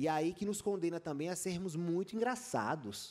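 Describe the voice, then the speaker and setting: A man in a Rio Grande do Norte accent, high-pitched, at a moderate pace. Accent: northeastern Brazilian (potiguar). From Brazil, Rio Grande do Norte (Natal). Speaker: journalist and author. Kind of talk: panel talk at a book festival.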